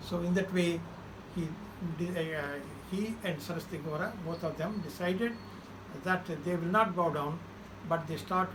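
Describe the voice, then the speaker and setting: With noticeable background noise and audible room echo, a man speaks at a high pitch and moderate pace with fairly even intonation. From India, Andhra Pradesh (Krishna district). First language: Telugu. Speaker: social activist. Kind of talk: interview, life story. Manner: halting, many fillers.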